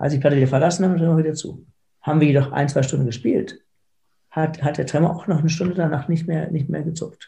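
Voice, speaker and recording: Fairly high in pitch, a man talks at a very fast pace in a dark, mellow tone with fairly even intonation. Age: 50s. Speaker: foundation founder with Parkinson's, lawyer and entrepreneur. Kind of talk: interview. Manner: halting, with repeated words.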